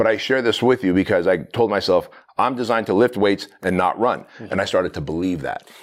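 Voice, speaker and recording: At a fairly quick pace, a man with a fairly low pitch talks in a normal speaking voice with ordinary pitch variation. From immigrant to the US, fled communism as a child. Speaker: entrepreneur and business coach. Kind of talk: podcast interview. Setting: in person, same room as host.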